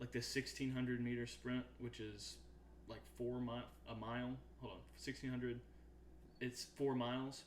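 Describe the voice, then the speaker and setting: A man talks in a Southern US accent at a moderate pace. His speech has long, frequent pauses. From US South, Arkansas. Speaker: podcast co-host. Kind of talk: casual chat. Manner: animated.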